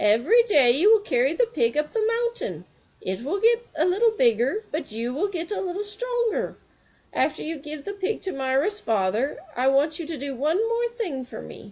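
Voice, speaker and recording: A woman does a squeaky put-on character voice, pitched high with very wide pitch swings, at a moderate pace. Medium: read story. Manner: blunt, knowing, matter-of-fact.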